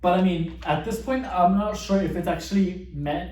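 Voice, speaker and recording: Room echo can be heard. A man speaks at a moderate pace. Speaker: youtuber. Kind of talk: casual explainer monologue. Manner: halting, many repetitions and restarts.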